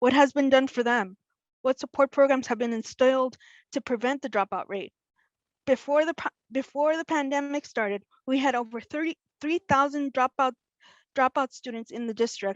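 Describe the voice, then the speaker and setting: A woman talks at a moderate pace in an American accent, her pitch high and its variation ordinary. The sound is dry and close with no echo, over a quiet background. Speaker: school board candidate. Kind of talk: candidate pitch speech. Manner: impassioned.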